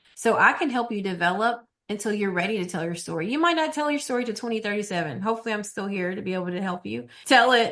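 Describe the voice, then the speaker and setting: Against a quiet background, a woman speaks at a very fast pace. Her pitch is medium. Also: lively intonation, hardly any pauses. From small rural town. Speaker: TV executive producer. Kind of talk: podcast interview.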